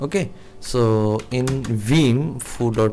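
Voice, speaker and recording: Fairly even intonation from a man with a non-native accent. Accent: non-native English speaker. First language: not English. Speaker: programming teacher. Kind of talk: tutorial. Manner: slow; halting, many fillers.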